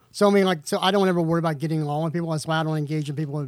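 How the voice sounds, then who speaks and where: A man's fairly high-pitched voice, dry and close with no echo. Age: 40s. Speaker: podcast co-host. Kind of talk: casual chat. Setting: studio.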